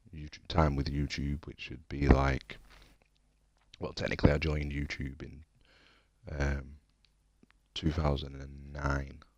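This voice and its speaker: Quietly and at a moderate pace, a man speaks in a very deep, low voice with monotone, flat intonation. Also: long, frequent pauses, big swings in loudness. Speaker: gaming streamer. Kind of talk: casual live stream chat. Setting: home, late at night. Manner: quiet, speaking low.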